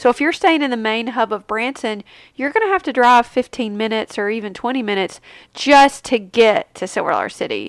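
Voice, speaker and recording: Captured with a dry, close sound and no echo, a woman speaks in a high pitch with ordinary pitch variation. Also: fairly quick pace. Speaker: podcast host. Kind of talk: casual solo podcast talk. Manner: chatty, informal.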